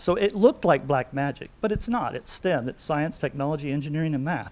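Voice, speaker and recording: This man has a normal speaking voice, pitched fairly high, and he talks at a fairly quick pace. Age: 60s. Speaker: cylinder head and manifold porter. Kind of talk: technical interview.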